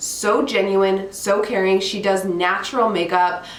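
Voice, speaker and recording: An animated woman's voice comes through noticeable background noise and audible room echo. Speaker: beauty YouTuber. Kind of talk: makeup tutorial vlog. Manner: chatty, animated.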